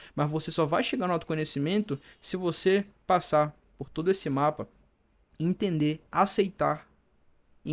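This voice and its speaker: On a very clean recording with a silent background, a man with fairly high pitch talks at a moderate pace and ordinary pitch variation. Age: 20s. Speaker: mental health youtuber. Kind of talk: video monologue. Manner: stumbling over words.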